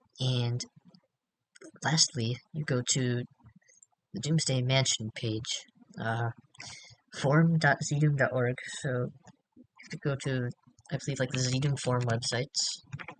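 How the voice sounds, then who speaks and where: A somewhat breathy man at a fairly slow pace, with fairly even intonation, long, frequent pauses, and a dry, close sound with no echo. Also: medium pitch for a man. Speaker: game modder. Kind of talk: software tutorial. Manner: casual, hesitant.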